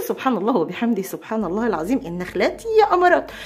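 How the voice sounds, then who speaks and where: A woman with an Egyptian accent talks at a very fast pace in an animated tone. Her fairly high pitch swings very widely, and background noise is noticeable. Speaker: homemaking vlogger. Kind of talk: casual vlog chat.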